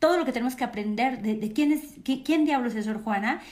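A woman talks with a Mexican accent. Room echo is audible. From Mexico. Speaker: cultural program host. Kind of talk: panel moderation. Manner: halting.

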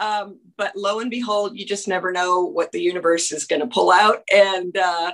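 A plain, everyday voice at a moderate pace. The intonation stays fairly even. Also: woman. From Canada. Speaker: country singer-songwriter. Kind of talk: interview. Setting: video call.

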